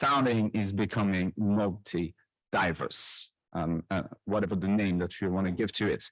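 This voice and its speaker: A man with a French accent speaks at a moderate pace in a fairly low pitch, his voice dry and close with no echo over a quiet background. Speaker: professor. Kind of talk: conference presentation. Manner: halting.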